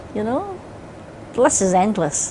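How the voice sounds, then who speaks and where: A woman speaks with a Scottish accent. Noticeable background noise runs underneath. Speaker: singer. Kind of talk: interview answer.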